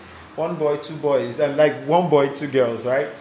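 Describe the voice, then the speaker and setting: There is audible room echo and noticeable background noise as a man with a fairly high pitch speaks at a moderate pace. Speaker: pastor's kid. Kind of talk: casual chat.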